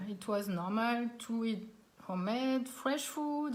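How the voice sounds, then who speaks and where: Room echo is audible as a woman talks with a French accent. Her pitch is fairly high and her intonation lively. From France, Alsace. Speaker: cooking teacher. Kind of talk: live online cooking class. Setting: live stream from home dining room.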